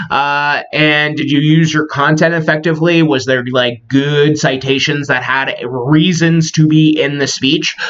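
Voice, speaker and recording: Here a man with a fairly high pitch speaks in a monotone, flat intonation. His loudness is very even, and there are hardly any pauses. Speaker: college instructor. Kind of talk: lecture. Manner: fast; casual with many filler words.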